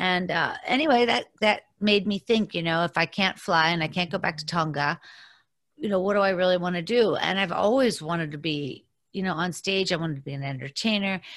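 A normal speaking voice from a woman, fairly low in pitch, with ordinary pitch variation and a fairly quick pace against a quiet background. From Pittsburgh, Pennsylvania. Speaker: comedian and comedy show host. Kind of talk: casual interview chat.

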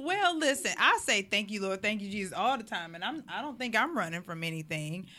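Bright and sharp, the voice sounds animated and moves at a fairly quick pace with very wide pitch swings. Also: woman, medium pitch for a woman. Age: 30s. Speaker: podcast co-host. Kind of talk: casual chat. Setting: live stream.

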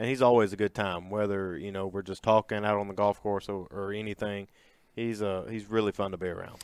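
A man talks at a fairly quick pace in a fairly low pitch with monotone, flat intonation, the sound dry and close with no echo and the recording very clean against a silent background. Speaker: sports podcast co-host. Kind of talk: sports podcast chat.

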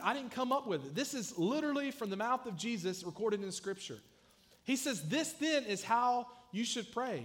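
A man with a Southern US accent talks at a fairly quick pace, his extremely high pitch carried by lively intonation. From US South (South Georgia). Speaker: youth pastor. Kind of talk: sermon. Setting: church.

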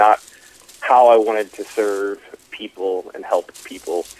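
A man is speaking with a dry, close sound and no echo. Noticeable background noise runs behind him. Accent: American. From US Midwest, Dayton, Ohio. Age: 20s. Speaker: dietitian and fitness coach. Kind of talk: interview. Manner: halting, many fillers.

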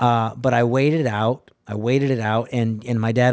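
With an American accent, a man speaks in an unremarkable speaking voice, medium in pitch and fairly even in intonation. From New England, later El Paso, Texas. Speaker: drummer and music educator. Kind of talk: casual interview.

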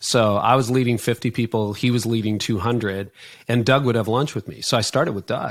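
A normal speaking voice with a Canadian accent goes at a fairly quick pace with fairly even intonation. The recording is very clean, with a silent background. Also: man, medium pitch for a man. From Canada. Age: 50s. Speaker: author and leadership coach. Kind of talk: interview conversation.

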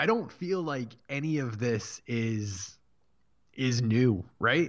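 Against a quiet background, a man uses a normal speaking voice with lively intonation. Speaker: podcast host. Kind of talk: casual chat. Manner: laughs often.

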